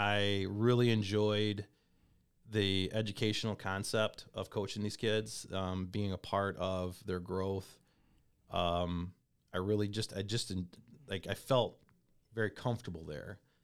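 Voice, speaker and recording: A man with a Midwestern American accent talks at a fairly slow pace and fairly low pitch, his intonation monotone and flat, with long, frequent pauses. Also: very clean recording, silent background. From Michigan, US Midwest. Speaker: podcast host. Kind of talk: casual interview chat.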